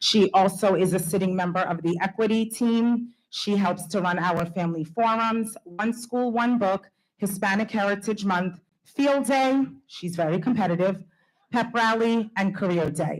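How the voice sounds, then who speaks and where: Somewhat breathy, a woman's voice holds a medium pitch with ordinary pitch variation at a moderate pace. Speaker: school principal. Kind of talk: award speech. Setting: school board meeting.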